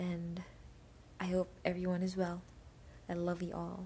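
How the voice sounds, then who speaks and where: Somewhat breathy, a woman speaks with a dark, mellow tone, a fairly low pitch and monotone, flat intonation. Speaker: podcaster. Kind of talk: casual solo podcast update. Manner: casual, laughs often.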